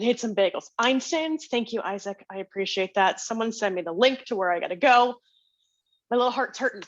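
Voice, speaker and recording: Over a quiet background, a woman with an American accent speaks fairly quickly in an energetic tone at a fairly high pitch with ordinary pitch variation. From northern New Jersey. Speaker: networking workshop presenter. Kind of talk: webinar presentation. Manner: fast.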